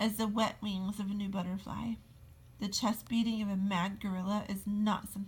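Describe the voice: Fairly even intonation over plain reading aloud.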